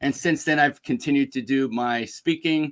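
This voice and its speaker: With a New York accent, a man speaks at a moderate pace and ordinary pitch variation, in a dry, close sound with no echo on a very clean recording with a silent background. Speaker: business speaker and executive coach. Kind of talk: interview.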